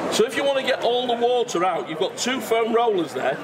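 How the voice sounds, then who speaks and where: Noticeable background noise runs behind a man talking at a moderate pace. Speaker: product demonstrator. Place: hall.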